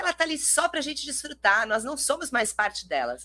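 In a bright, sharp and animated tone, a woman's voice swings very widely in pitch and slips into vocal fry. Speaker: podcast host and teacher. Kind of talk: casual chat. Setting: live stream.

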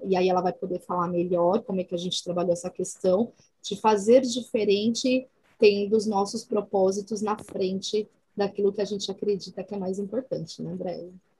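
Her intonation stays fairly even. The woman's voice is somewhat breathy. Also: medium pitch for a woman, moderate pace. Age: 40s. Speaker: social responsibility coordinator. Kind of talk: casual interview.

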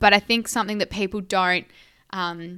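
Bright and sharp in tone, a woman speaks at medium pitch with an Australian accent and monotone, flat intonation. The recording is very clean, with a silent background. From Esperance, Western Australia. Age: young. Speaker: podcast co-host, agriculture communicator. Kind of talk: casual chat.

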